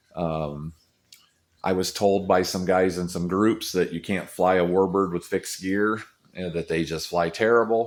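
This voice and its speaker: A man's very deep, low voice, relaxed in tone, at a moderate pace. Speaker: RC model airplane hobbyist vlogger. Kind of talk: casual vlog update. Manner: halting, many fillers; relaxed, low-key.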